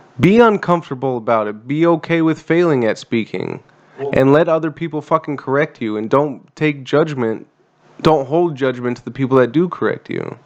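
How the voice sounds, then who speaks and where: An unremarkable speaking voice with an American accent shows ordinary pitch variation. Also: man, fairly high pitch for a man, moderate pace. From USA. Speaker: veteran podcast host. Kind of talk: casual chat.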